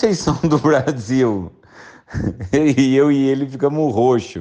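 In a quiet setting, a man talks with a fairly high pitch, a dark, mellow tone and ordinary pitch variation. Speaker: brewer's brother. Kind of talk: storytelling.

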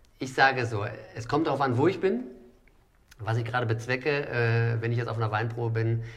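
A somewhat breathy man with a medium pitch and ordinary pitch variation talks at a fairly quick pace with long, frequent pauses, in a space with audible room echo. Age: 40s. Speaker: restaurant owner and wine merchant. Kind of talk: casual chat.

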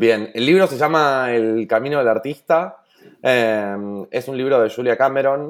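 A man's medium-pitched voice at a moderate pace, on a very clean recording with a silent background. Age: 30s. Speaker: entrepreneur. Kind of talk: interview. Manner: halting.

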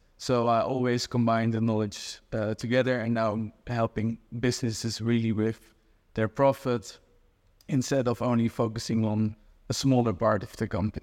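The recording is very clean, with a silent background. The intonation is monotone and flat. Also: man, medium pitch for a man, moderate pace. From Netherlands. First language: Dutch. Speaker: e-commerce growth consultant. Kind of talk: casual interview. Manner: hesitant, many fillers.

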